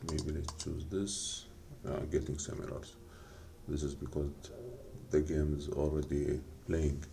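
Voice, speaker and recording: The speaker has a non-native accent, with noticeable background noise behind the voice. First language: not English. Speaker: game developer. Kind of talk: tutorial. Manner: halting.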